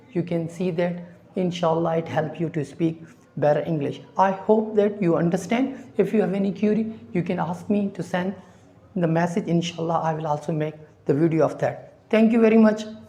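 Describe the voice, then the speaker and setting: A woman's fairly low, somewhat breathy voice has a dark, mellow tone and moves at a moderate pace. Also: ordinary pitch variation. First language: not English. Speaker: English teacher. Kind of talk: tutorial. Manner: halting.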